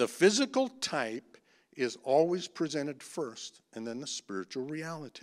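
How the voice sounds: Speaking at a fairly slow pace, a man with a fairly high pitch makes big pitch swings.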